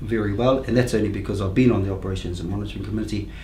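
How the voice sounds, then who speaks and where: Noticeable background noise and audible room echo around a man speaking. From New Zealand, Rotorua. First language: Māori. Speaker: council candidate. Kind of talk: interview. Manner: halting, many fillers.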